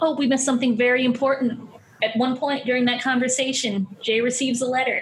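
A woman's high-pitched, very fast, monotone delivery with flat intonation and very even loudness, over noticeable background noise. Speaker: writer and comedian. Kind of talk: casual chat.

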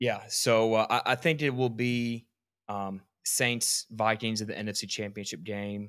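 A man with an American accent, a plain, everyday voice, medium pitch, and a fairly slow pace, on a very clean recording with a silent background. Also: fairly even intonation. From Georgia, US. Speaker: sports podcast host. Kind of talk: casual sports chat.

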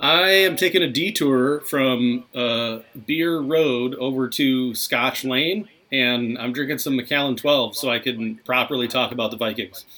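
In an American accent, an unremarkable speaking voice talks at a fairly slow pace with ordinary pitch variation. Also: man, medium pitch for a man. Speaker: sports podcast host. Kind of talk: casual chat.

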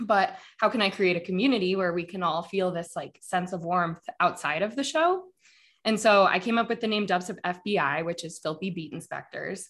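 In a plain, everyday voice, a woman with an American accent talks at a moderate pace and medium pitch, with ordinary pitch variation against a quiet background. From Denver, Colorado, US. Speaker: podcast host. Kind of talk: casual chat.

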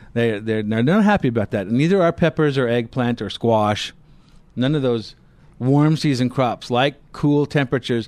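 In an ordinary speaking voice, a man of medium pitch talks at a moderate pace with ordinary pitch variation, and the sound is dry and close with no echo. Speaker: radio gardening show co-host. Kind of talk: call-in radio show. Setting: studio.

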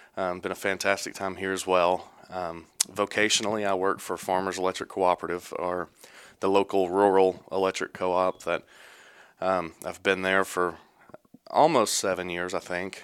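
In a very clean recording with a silent background, a man speaks with a Texan accent at a very deep, low pitch. His intonation is monotone and flat, at a moderate pace. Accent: Texan Southern US. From East Texas. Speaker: church elder. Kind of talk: casual interview.

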